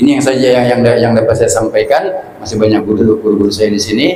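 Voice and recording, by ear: A man speaks with fairly even intonation and a slightly mellow tone, with audible room echo around him.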